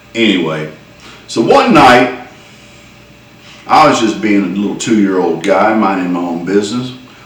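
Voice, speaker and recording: Speaking with a Southern US accent, the man keeps a moderate tempo while noticeable background noise runs underneath. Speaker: storyteller. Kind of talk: humorous personal story told to camera. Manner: folksy, conversational.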